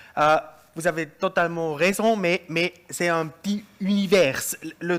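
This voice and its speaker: Someone with a German accent speaks at a very slow pace. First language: German (speaking French). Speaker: panel speaker, energy expert. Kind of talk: panel discussion. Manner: halting, searching for words.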